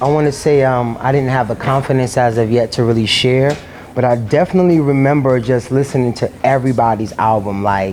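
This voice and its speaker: A man with an American accent talks at a fairly quick pace in a medium-pitched voice with ordinary pitch variation and very even loudness. Noticeable background noise is present. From New York City. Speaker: singer and dance teacher. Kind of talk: casual interview talk. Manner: hesitant, many fillers.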